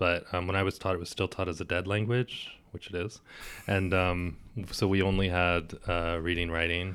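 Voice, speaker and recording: In an American accent, a man speaks with a very deep, low pitch and monotone, flat intonation at a moderate pace. The recording is very clean, with a silent background. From US, Maryland. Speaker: language teacher. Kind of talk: interview. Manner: hesitant, with many fillers.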